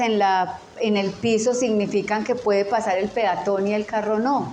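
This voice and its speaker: With audible room echo, a woman talks at a fairly slow pace and with fairly even intonation. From Colombia. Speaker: teacher. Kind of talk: lecture.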